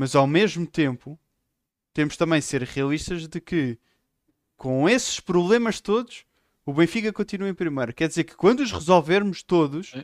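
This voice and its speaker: A high-pitched man speaks at a moderate pace with lively intonation, big swings in loudness, and long, frequent pauses. The recording is very clean with a silent background and a dry, close sound without echo. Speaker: football podcast co-host. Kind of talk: casual chat.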